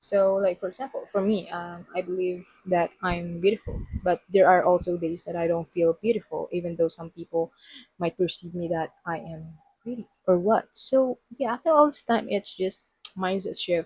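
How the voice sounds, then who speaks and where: At a moderate pace, a woman speaks with medium pitch, ordinary pitch variation and a somewhat breathy quality in a dry, close recording with no echo. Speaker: podcast host. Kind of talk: casual monologue. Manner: animated.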